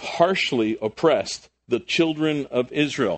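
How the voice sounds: A man at medium pitch, slow in pace, with lively intonation.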